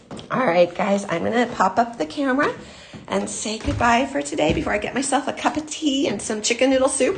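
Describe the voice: In a put-on character voice, a woman speaks fairly quickly, fairly high and raspy, with very wide pitch swings over clear background noise.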